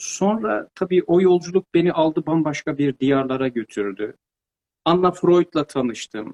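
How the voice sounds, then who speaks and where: In a dry, close recording with no echo, a man talks at a fairly slow pace in a normal speaking voice, fairly high in pitch and with lively intonation. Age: 50s. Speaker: pedagogue and author. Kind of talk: interview. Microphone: too quiet at first.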